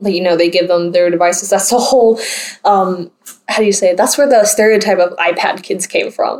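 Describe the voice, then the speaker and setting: This woman has a plain, everyday voice with an American accent, medium in pitch with ordinary variation. She talks at a fairly quick pace, her loudness very even. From US South, North Carolina. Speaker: podcast host. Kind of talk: casual chat.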